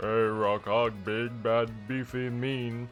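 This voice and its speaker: A gruff, put-on character voice from a man, medium in pitch and fairly slow, with monotone, flat intonation and clear music in the background. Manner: stupid, gruff.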